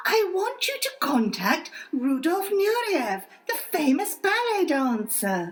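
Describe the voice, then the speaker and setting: A put-on character voice at an extremely high pitch, with very wide pitch swings. The pace is fairly slow. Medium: audio drama. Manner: insistent, prim.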